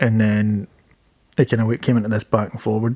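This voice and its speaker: A soft-spoken man talks with a Glaswegian accent. His pitch is medium and his intonation monotone and flat. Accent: Glaswegian Scottish. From Scotland, Glasgow. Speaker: stand-up comedian. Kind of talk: casual chat. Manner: halting, many repetitions.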